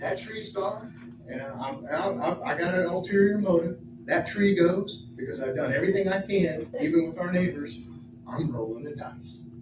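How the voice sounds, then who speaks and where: A man with a high voice speaks at a moderate pace with lively intonation and big swings in loudness. Audible room echo and noticeable background noise are present. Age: 60s. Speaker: resident speaking at city council meeting. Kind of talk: public comment. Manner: halting, repetitive.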